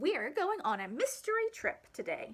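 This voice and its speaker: A woman uses a put-on character voice at an extremely high pitch. Her pace is moderate. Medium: read story.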